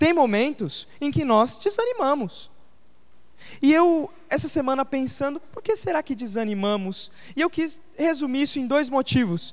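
The pace is fairly slow. Noticeable background noise sits behind the speech. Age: 20s. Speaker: pastor. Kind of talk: sermon.

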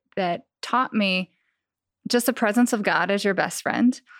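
Featuring a plain, everyday voice, a woman talks at a moderate pace with a medium pitch and ordinary pitch variation, in a dry, close sound with no echo on a very clean recording with a silent background. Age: 30s. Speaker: songwriter and stylist. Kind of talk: casual chat.

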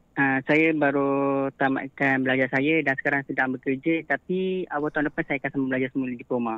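A man speaks at a fairly quick pace with a fairly high pitch. His intonation is monotone and flat, and his loudness stays very even. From Malaysia, Selangor. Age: 20s. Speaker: caller, office worker. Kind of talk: storytelling on phone. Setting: phone call. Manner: mature-sounding.

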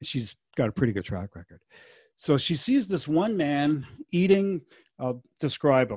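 With big swings in loudness and very wide pitch swings, a somewhat breathy voice speaks fairly slowly with long, frequent pauses, in a dry, close sound with no echo. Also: man, fairly high pitch for a man. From Montreal. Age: 60s. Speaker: musician. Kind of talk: casual chat.

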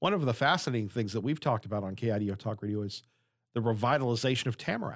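Speaking at a very fast pace, a man with a medium-pitched voice is captured on a very clean recording with a silent background. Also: ordinary pitch variation. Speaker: radio interviewer. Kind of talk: radio interview. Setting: radio studio.

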